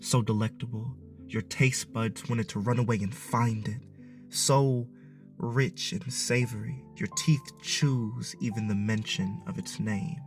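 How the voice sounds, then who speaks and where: A man's intense, medium-pitched voice at a fairly slow pace, with music in the background. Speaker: spoken word poet. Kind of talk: spoken word poetry performance. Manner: intense, impassioned.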